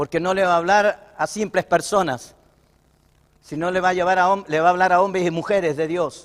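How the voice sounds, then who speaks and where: Fairly even in intonation, a man speaks in a high pitch. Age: 60s. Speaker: pastor. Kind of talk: sermon.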